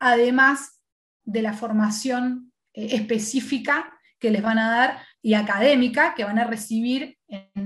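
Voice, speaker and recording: A woman with a high voice speaks at a fairly slow pace, with ordinary pitch variation. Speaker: guest lecturer in human relations. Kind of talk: lecture.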